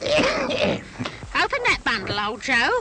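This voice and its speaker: A woman's cartoonish character voice at an extremely high pitch, with very wide pitch swings, over loud background noise. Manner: coarse, callous.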